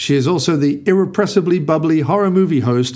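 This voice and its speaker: It is an unremarkable speaking voice. A man talks at a moderate pace with fairly high pitch and lively intonation. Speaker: podcast host. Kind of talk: podcast intro monologue. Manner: wry, comedic.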